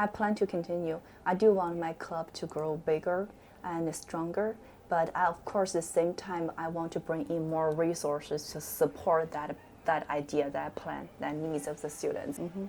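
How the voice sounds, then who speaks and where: A woman's fairly low voice with a Chinese accent, fairly even intonation and a moderate pace. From China. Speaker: teacher, club sponsor. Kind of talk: interview. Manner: halting.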